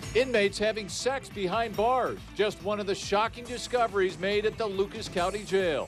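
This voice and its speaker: With music in the background, a man speaks at a moderate pace in a high pitch, with fairly even intonation and hardly any pauses. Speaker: news anchor. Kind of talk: TV news anchor read.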